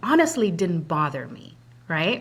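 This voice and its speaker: A woman speaks in a somewhat breathy voice. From immigrant, came to US at about 8, non-English-speaking home. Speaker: credit union executive. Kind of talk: interview.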